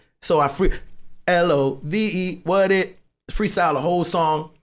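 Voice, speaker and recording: Animated in tone, a man with a Caribbean accent talks fairly slowly at a fairly high pitch. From US Virgin Islands (St. Thomas). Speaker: songwriter. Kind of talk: casual chat.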